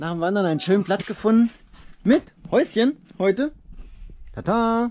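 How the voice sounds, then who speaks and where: A man speaks at a fairly slow pace, with light background noise present. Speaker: family father vlogger. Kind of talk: casual vlog chat. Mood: cheerful, relaxed. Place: open country. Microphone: phone near.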